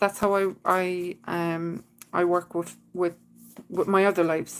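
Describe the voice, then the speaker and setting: Putting on a character voice, a woman of medium pitch mumbles at a fairly slow pace in a monotone, flat intonation. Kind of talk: hesitant, filler-heavy. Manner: mumbling.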